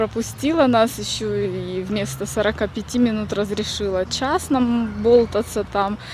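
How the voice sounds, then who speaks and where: With hardly any pauses, a woman speaks at a very slow pace in a dry sound with no echo, over noticeable background noise. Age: 30s. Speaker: vlogger. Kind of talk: casual vlog. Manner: chatty. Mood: animated, a bit indignant. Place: forest. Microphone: phone near.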